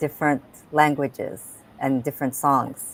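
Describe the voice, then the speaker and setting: Here is a woman with a Japanese accent. Her pitch is very deep and low. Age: 60s. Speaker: talk show host and health coach. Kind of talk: interview.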